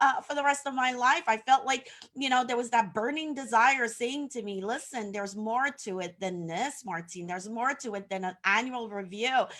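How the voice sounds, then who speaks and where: With lively intonation and a high pitch, a woman talks at a moderate pace as noticeable background noise carries on. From Haiti. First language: French. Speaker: social media coach. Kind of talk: casual interview on livestream. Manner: some hesitations and fillers.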